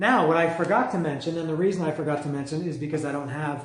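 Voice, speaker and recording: There is audible room echo as a man speaks in a high voice. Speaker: music reviewer. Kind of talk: casual monologue review. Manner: halting, many fillers.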